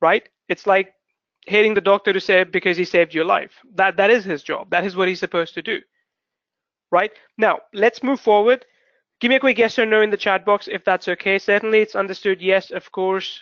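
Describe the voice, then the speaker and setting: A man's high-pitched voice with a non-native accent, fairly quick pace and fairly even intonation. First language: not English. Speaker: webinar host, online marketer. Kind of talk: webinar presentation. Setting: live webinar broadcast. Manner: fast; rambling, constructs sentences as he goes.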